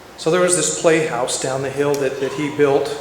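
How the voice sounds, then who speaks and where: Heard with audible room echo and noticeable background noise, a man speaks at a fairly high pitch with ordinary pitch variation. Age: 60s. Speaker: eulogy speaker at a memorial. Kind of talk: eulogy. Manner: halting, many repetitions and restarts.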